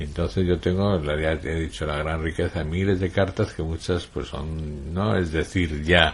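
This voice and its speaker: A man is talking. His voice sits very deep and low in pitch. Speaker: writer, journalist and radio broadcaster being interviewed. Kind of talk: interview answer, conversational.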